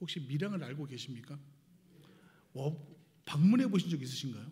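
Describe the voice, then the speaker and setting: A man's dark, mellow voice at a moderate pace, with audible room echo. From Seoul, South Korea. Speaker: missionary guest preacher. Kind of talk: sermon. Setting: church service. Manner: hesitant, many filler sounds.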